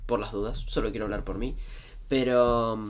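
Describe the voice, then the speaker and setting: A man at a moderate pace, with audible room echo. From Argentina, outside Buenos Aires. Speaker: Lindy Hop dancer and teacher. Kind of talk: casual interview chat.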